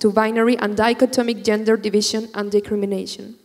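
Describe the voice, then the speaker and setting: A woman with a Chilean accent and monotone, flat intonation, over noticeable background noise. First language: Spanish. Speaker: student activist. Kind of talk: prepared speech. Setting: stage with audience.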